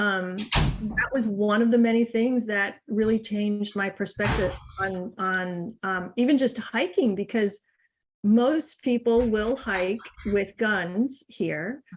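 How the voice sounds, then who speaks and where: A woman talks at a very slow pace with a fairly high pitch. Her voice is somewhat breathy, with ordinary pitch variation. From Massachusetts, US. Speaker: naturalist and artist. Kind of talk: casual chat.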